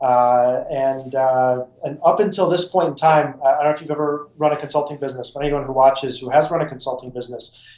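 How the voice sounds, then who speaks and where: Talking very fast with hardly any pauses, a man uses a fairly high pitch and fairly even intonation over noticeable background noise. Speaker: app company founder. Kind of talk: interview. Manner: loud; halting.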